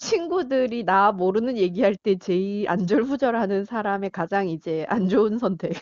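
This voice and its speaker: Here is a plain, everyday voice from a woman at medium pitch with ordinary pitch variation. She keeps a moderate pace with hardly any pauses. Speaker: phone guest. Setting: phone call.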